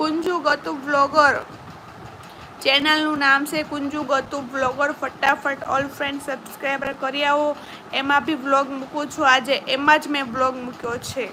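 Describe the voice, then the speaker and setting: A woman's high-pitched, raised, projected voice with monotone, flat intonation over noticeable background noise. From Gujarat, Saurashtra (Palitana area). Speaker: YouTube vlogger. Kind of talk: live stream chat with viewers.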